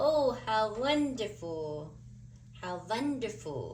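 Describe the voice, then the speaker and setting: Someone uses a put-on character voice at a fairly high pitch, speaking at a very slow pace over clear background noise. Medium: read story. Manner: booming, theatrical.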